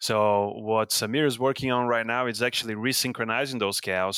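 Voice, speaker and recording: A man's fairly low voice with a Brazilian accent, bright and sharp in tone, at a moderate pace with fairly even intonation and a dry, close sound with no echo. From Brazil, São Paulo state. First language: Portuguese. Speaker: professor and beef cattle researcher. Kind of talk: interview. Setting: video call.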